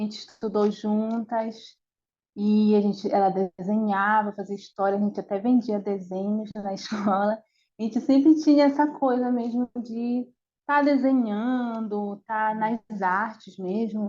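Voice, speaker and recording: A woman talks at a fairly high pitch and a fairly slow pace. Her voice is somewhat breathy, with fairly even intonation. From northern Brazil, Belém, Pará. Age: 30s. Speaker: animator. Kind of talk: interview. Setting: video call. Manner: halting.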